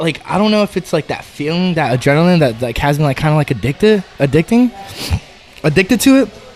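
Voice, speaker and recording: A man talking very fast at a fairly high pitch, his voice swinging very widely in pitch, with music in the background. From Arizona. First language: Spanish. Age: 30s. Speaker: MMA fighter and Marine veteran. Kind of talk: casual podcast interview.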